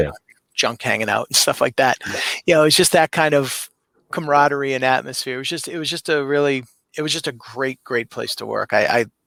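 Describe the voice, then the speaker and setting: Heard dry and close with no echo, a man speaks at a fairly high pitch in a bright, sharp tone with fairly even intonation. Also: fairly quick pace. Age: 50s. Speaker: professional wrestling ring announcer. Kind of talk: podcast interview answer, casual conversational storytelling.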